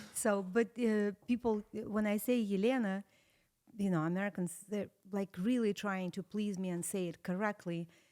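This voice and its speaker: In a slight Russian accent, a woman with a dark, mellow tone and medium pitch speaks at a moderate pace with fairly even intonation. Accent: slight, atypical Russian. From Russia (Saratov). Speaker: interview guest. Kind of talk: casual interview.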